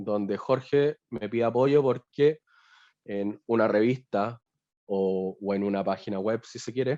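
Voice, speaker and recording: A man talks at medium pitch and a fairly slow pace, with ordinary pitch variation and a dark, mellow tone. The sound is dry and close with no echo, over a quiet background. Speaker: BI consultant. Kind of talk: webinar tutorial. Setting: video call.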